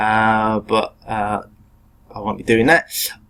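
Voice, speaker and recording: A man with an English accent. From England. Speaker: teacher. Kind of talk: lecture. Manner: hesitant, many fillers.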